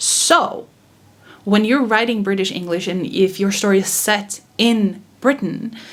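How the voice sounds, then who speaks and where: A fairly slow delivery with ordinary pitch variation over noticeable background noise. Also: woman, medium pitch for a woman. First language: not English. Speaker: author. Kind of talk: casual talk to camera.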